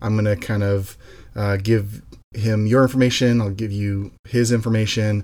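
At a moderate pace, a man with a fairly low pitch speaks in a monotone, flat intonation. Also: very clean recording, silent background. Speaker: association president, police drone program leader. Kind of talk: casual interview conversation.

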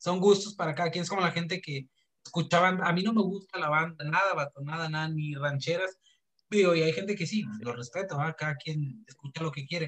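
This man has an ordinary speaking voice, a fairly high pitch, ordinary pitch variation and a fairly quick pace. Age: 20s. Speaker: podcast host. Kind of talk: casual chat.

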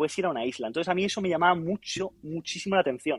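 Against a quiet background, a man speaks high for his sex with ordinary pitch variation in a dry, close sound with no echo. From Spain. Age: 20s. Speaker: physiotherapist. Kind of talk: casual interview.

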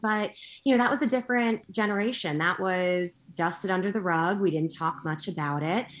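An ordinary speaking voice from a woman, medium in pitch, with lively intonation and a quiet background. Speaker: guest, entrepreneur and military spouse. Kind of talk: casual interview chat.

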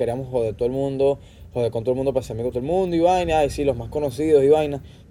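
A man with a Venezuelan accent talks at a very fast pace in a dark, mellow tone of medium pitch. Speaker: podcast guest. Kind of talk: casual chat. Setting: outdoors on a patio.

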